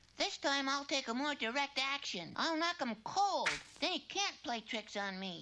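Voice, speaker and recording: With clear background noise, a female-sounding cartoonish character voice speaks at a high pitch. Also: moderate pace. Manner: meek, comically resigned.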